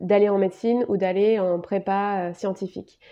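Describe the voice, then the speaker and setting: A woman talks in a normal speaking voice at a medium pitch, keeping a fairly slow pace and fairly even intonation. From France, Bordeaux region. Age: 20s. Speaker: naturopath and coach, podcast host. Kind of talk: personal story monologue.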